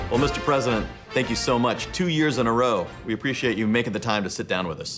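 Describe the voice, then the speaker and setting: Over music in the background, a man talks at a very fast pace with medium pitch and ordinary pitch variation. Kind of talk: comedic interview banter.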